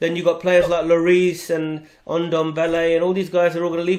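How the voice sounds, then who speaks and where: A man speaks with a British accent. His pitch is high and his pace fairly quick. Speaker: podcast host. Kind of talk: podcast discussion.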